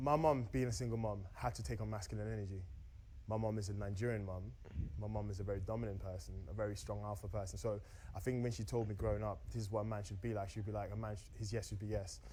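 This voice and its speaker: Very fast and somewhat breathy, a man speaks in a fairly low pitch with a dark, mellow tone and ordinary pitch variation, and audible room echo surrounds him. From Austria, moved to UK at 14. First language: German. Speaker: dating show contestant. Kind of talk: casual chat.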